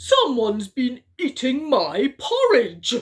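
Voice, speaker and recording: The pitch of this put-on character voice sits high. Delivery is fairly slow. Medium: read story. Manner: gruff, huffy.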